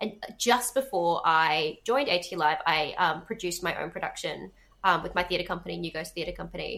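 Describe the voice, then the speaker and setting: A woman with an Australian accent speaks with vocal fry and ordinary pitch variation. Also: moderate pace. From Western Australia, Perth. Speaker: theatre producer and director. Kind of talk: casual chat.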